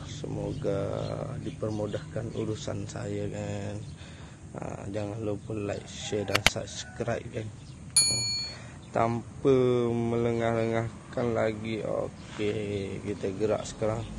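Loud background noise surrounds a man who speaks at a very slow pace. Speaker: fishing vlogger. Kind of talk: casual vlog chat. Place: street. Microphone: phone near.

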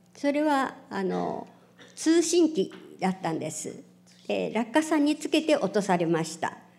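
A woman's fairly high voice with vocal fry and very wide pitch swings, at a fairly slow pace. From Japan (Hiroshima); Japan. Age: 70s. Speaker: atomic bomb survivor. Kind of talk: testimony. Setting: public event with audience. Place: hall. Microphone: podium.

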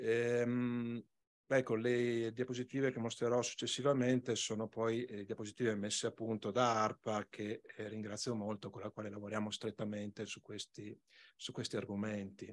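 Flat and monotone, a man delivers his words. He keeps a moderate pace. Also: medium pitch for a man. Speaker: regional environment department official; conference presenter. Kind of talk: conference talk. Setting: conference hall with microphone. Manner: soft-spoken; hesitant, many fillers. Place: hall. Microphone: podium.

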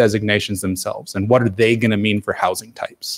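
A man's fairly low pitch at a fairly quick pace, fairly even in intonation, with a quiet background. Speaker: city planning staff member. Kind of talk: staff briefing at a public council meeting. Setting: council chamber with public audience. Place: hall.

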